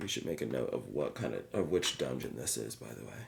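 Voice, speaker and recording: Vocal fry runs through this man's speech at a moderate pace. His pitch swings very widely. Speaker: tabletop RPG player. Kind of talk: casual solo actual play commentary. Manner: casual, excitable.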